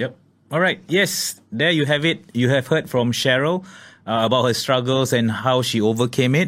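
The recording is very clean, with a silent background and very even loudness. A man with a Singaporean accent talks at medium pitch with ordinary pitch variation. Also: moderate pace. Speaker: podcast host. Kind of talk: interview. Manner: halting.

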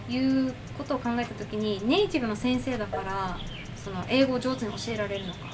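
Over noticeable background noise and audible room echo, a woman talks at a fairly quick pace with very wide pitch swings. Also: fairly high pitch for a woman. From Okinawa, Japan (Ginowan). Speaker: English teacher and second language studies graduate. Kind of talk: casual interview chat.

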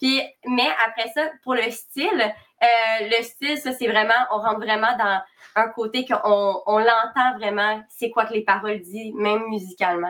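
An ordinary speaking voice goes at a fairly slow pace with ordinary pitch variation. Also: woman, fairly high pitch for a woman. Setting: live stream.

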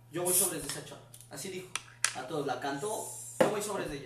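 Through audible room echo and noticeable background noise, a man speaks with lively intonation. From Mexico City. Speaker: friend of the hosts, podcast guest. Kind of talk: casual chat.

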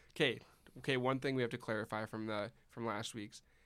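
At a fairly quick pace, a man speaks with flat, monotone intonation in a very clean recording with a silent background. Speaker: engineering student podcast co-host. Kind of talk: casual chat.

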